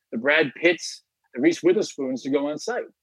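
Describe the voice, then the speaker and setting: A man's fairly high, lively voice at a very fast pace, dry and close with no echo. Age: 50s. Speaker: tech company executive. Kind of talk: interview.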